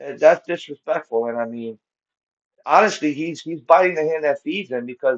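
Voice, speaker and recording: A man talks with an American accent. His pitch sits fairly high. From Connecticut, raised partly in New York. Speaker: live-stream reaction commentator. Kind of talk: casual live commentary. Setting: livestream. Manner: halting, many repetitions and fillers.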